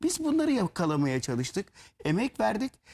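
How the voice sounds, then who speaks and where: The recording is very clean, with a silent background. A man speaks. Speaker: lyricist. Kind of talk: interview.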